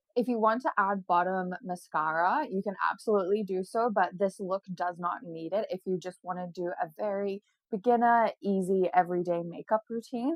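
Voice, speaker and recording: Her pitch medium and varying in an ordinary way, a woman talks with hardly any pauses. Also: moderate pace. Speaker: beauty vlogger. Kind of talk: tutorial. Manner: casual and chatty.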